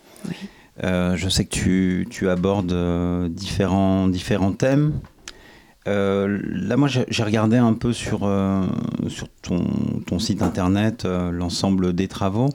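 A man's fairly low, dark, mellow voice at a very slow pace, with ordinary pitch variation and long, frequent pauses. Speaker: radio co-host. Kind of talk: interview. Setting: studio.

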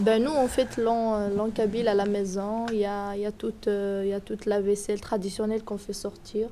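Her medium-pitched voice stays monotone and flat throughout. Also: moderate pace. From Algeria, Kabylie (Tizi Ouzou). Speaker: student. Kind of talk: recorded interview.

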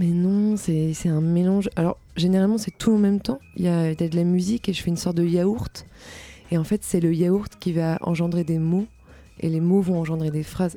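Over music in the background, a woman with a fairly low pitch talks at a moderate pace with fairly even intonation. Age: young. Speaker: singer-songwriter. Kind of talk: interview. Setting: studio.

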